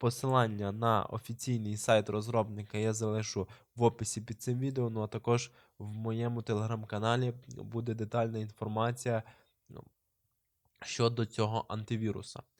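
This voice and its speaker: Monotone, flat intonation comes at a moderate pace. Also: man, medium pitch for a man. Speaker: YouTuber giving computer tutorials. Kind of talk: screen-recorded tutorial. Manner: hesitant, many filler sounds.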